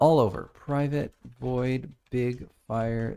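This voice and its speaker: Speaking at a very slow pace, a man with an American accent has a dark, mellow tone and ordinary pitch variation. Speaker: indie game developer streaming his work. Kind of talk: live-stream work commentary. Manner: casual, talking to himself while working.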